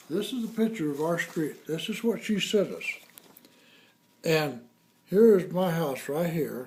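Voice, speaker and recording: At a fairly slow pace with long, frequent pauses, a man with a high voice speaks using lively intonation. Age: 70s. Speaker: fire victim homeowner. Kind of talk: interview.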